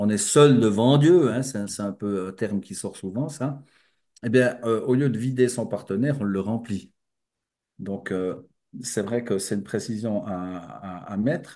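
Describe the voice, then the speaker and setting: A man's dark, mellow voice at a medium pitch, with ordinary pitch variation and a fairly slow pace, over a quiet background. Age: 60s. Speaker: spiritual speaker. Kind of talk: lecture. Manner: halting.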